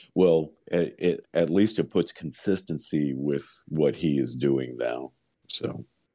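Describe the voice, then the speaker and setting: Very slow in pace, a man speaks in a very deep, low voice with a dark, mellow tone and ordinary pitch variation. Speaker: co-host, tabletop gamer. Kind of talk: casual chat.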